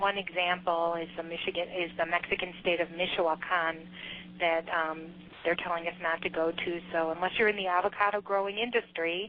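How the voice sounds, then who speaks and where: A fairly low-pitched woman in a Chicago accent, with monotone, flat intonation. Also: moderate pace. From US Midwest, Chicago. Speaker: government trade official. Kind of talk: business presentation. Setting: teleconference. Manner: halting, many fillers.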